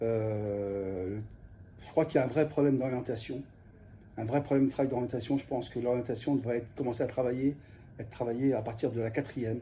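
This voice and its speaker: Somewhat breathy and dark, mellow in tone, a man at medium pitch talks with fairly even intonation and long, frequent pauses. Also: fairly quick pace. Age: 60s. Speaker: youth guidance counsellor, former journalist. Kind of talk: interview. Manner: halting, many hesitations.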